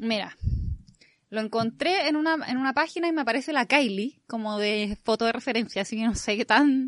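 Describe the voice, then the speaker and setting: In a Chilean accent, a woman speaks at a fairly quick pace and fairly high pitch with ordinary pitch variation against a quiet background. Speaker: podcast host. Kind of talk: casual chat.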